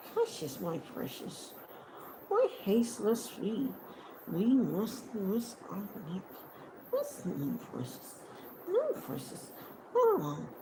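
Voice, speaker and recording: In a put-on character voice, creaky and hissing, the speaker goes at a very slow pace with long, frequent pauses over clear background noise. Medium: read story. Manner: muttering to himself, spiteful.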